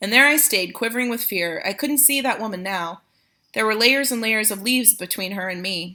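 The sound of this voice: An unforced reading voice over a quiet background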